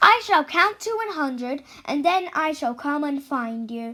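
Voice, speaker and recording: In a put-on character voice, a woman speaks at a moderate pace with a high pitch. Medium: read story. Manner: menacing, gloating.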